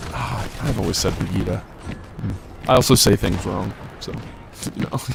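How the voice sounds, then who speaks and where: A man's very deep, low voice in an animated tone, with ordinary pitch variation and a moderate pace, music in the background. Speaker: esports caster. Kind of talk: live commentary.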